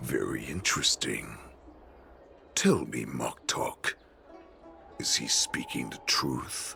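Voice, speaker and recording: In a put-on character voice, a man whispers at a very slow pace, leaving long, frequent pauses. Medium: video game. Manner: scornful, domineering.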